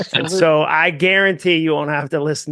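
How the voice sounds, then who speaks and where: Bright and sharp in tone, a man speaks at a fairly quick pace with a fairly high pitch and fairly even intonation, in a dry, close sound with no echo. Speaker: author and speaker. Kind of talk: casual interview chat. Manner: fast.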